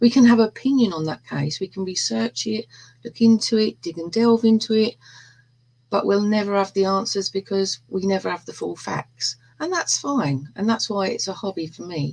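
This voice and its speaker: A woman's somewhat breathy voice in a London accent, medium in pitch with lively intonation, at a moderate pace and with a dry, close sound free of echo. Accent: London accent, self-described rough and ready. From East End of London. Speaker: true crime hobbyist. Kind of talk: casual chat.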